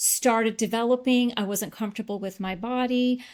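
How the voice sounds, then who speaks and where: This is a woman with ordinary pitch variation. She has an unremarkable speaking voice. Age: 60s. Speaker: weight loss client. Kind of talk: interview testimony.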